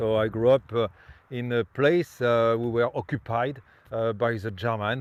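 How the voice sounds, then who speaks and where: With a French accent, the speaker keeps a moderate pace and fairly even intonation. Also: man. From France (Normandy and Brittany). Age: 50s. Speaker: tour guide. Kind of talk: guided tour presentation. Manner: halting, many fillers.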